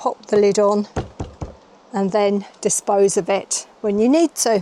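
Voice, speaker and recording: This woman has a British accent. Her voice sits at a medium pitch. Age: 60s. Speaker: van life vlogger. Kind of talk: product walkthrough. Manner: casual, chatty.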